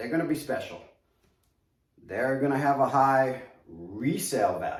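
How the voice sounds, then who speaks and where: Speaking in a New York accent, a man uses a fairly high pitch and an animated tone at a fairly slow pace, with audible room echo. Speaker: collectibles reviewer. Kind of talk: product review video.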